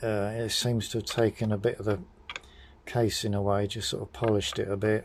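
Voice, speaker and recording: Speaking in a British accent, the voice keeps a monotone, flat intonation. Its pace is fairly quick. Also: man, fairly low pitch for a man. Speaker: motorcycle mechanic vlogger. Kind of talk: tutorial. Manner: formal.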